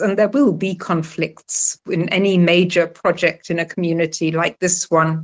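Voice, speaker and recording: Against a quiet background, a woman with a British accent speaks at a fairly slow pace with fairly even intonation. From UK. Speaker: retired telecom policy researcher. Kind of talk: interview.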